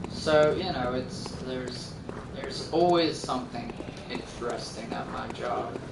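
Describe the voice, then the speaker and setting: Quiet and fairly slow, a man with a medium pitch uses lively intonation while audible room echo and noticeable background noise surround him. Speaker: gaming streamer. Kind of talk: casual gameplay commentary. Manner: quiet talker; halting, many fillers. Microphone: group mic on camera, sounds a little quiet.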